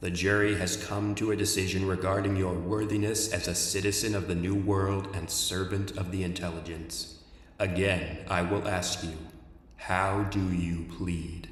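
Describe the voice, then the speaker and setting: A man's put-on character voice, booming and very deep, low in pitch, with monotone, flat intonation, a moderate pace and a clear echo. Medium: read story. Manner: cold, toneless, emotionless, formal.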